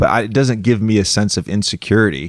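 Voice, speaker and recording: Over a quiet background, a man with a fairly low pitch talks at a fairly quick pace with ordinary pitch variation, the sound dry with no echo. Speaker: podcast host. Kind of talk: casual podcast conversation. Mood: joking, self-deprecating. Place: home room.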